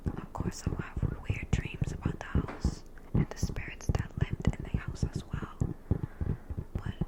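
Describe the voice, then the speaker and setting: A woman's whisper, fairly slow in pace, comes through noticeable background noise. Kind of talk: ASMR whispered storytelling. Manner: whispered, soft, slow.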